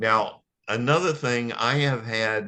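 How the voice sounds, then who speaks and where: A man's bright, sharp voice at a medium pitch, with ordinary pitch variation and a quiet background. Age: 70s. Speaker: health product testimonial speaker. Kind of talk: testimony. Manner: animated.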